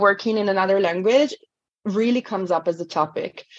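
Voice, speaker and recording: With an Italian accent, a woman talks at a medium pitch with ordinary pitch variation. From Italy. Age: 40s. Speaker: language coach. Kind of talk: interview.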